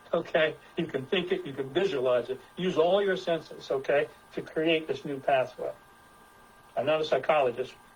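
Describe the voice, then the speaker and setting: Over noticeable background noise, a man speaks at a fairly high pitch and a moderate pace with ordinary pitch variation. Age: 70s. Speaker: presenter with science degrees. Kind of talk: presentation with group discussion. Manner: halting, many repetitions.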